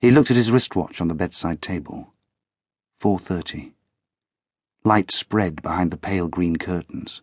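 Against a quiet background, a man with a very deep, low voice speaks in a dramatic tone at a moderate pace, with long, frequent pauses, ordinary pitch variation and a dry, close sound with no echo. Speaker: audiobook narrator. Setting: studio recording.

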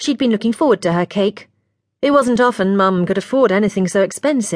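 The reading voice is unforced, and the background stays quiet.

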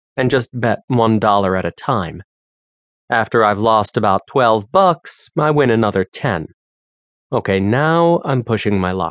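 Against a quiet background, a man talks at a moderate pace with a fairly low pitch in a plain, everyday voice, the sound dry and close with no echo. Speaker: audiobook narrator. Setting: studio. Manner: casual and conversational, with voiced characters.

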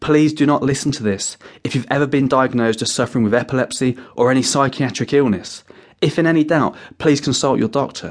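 In a normal speaking voice, a man talks fairly quickly at a medium pitch with fairly even intonation. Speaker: hypnotherapist audiobook narrator. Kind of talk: guided meditation. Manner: gentle, soft-spoken.

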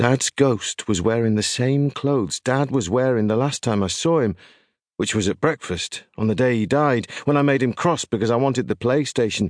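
In a British accent, a man speaks at medium pitch and a moderate pace, with ordinary pitch variation and very even loudness, in a dry, close sound with no echo against a quiet background. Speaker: audiobook narrator. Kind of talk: audiobook narration in the voice of an eleven-year-old boy, ghost story.

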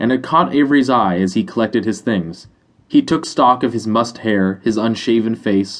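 What we hear is plain reading aloud.

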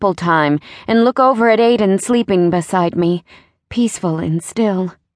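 In an unforced reading voice with ordinary pitch variation, the speaker is heard against a quiet background.

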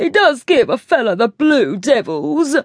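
A put-on character voice, high and theatrical, with very wide pitch swings at a moderate pace. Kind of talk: old-fashioned, refined. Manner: affected, theatrical.

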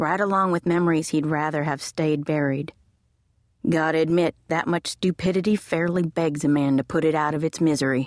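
A woman's very deep, low voice in a dramatic tone, fairly quick, with fairly even intonation and very even loudness, dry and close with no echo against a quiet background. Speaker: audiobook narrator. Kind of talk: audiobook narration of a western romance, reading prose with dialogue. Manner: gritty, tense and dramatic, with a measured pace and gruff character voices.

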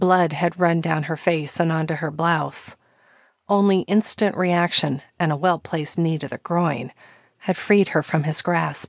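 Against a quiet background, a woman uses an ordinary speaking voice. Her pitch is fairly low and her intonation fairly even. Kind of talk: dramatic audiobook narration of a romantic thriller. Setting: studio audiobook recording.

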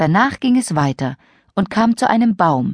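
Recorded very cleanly against a silent background, a woman speaks with big pitch swings. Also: medium pitch for a woman, moderate pace, dry, close sound with no echo.

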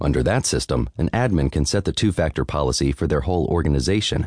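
Very fast and very deep, a man's voice with vocal fry moves in lively intonation, the sound dry and close with no echo. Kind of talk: audiobook narration of a tech article, read aloud. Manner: steady, clear, measured reading; formal, even, informative.

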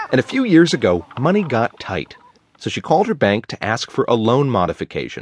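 A man at medium pitch and a fairly quick pace, with very wide pitch swings, in a dry, close sound with no echo. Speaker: radio reporter. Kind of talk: news reading. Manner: formal; steady, measured.

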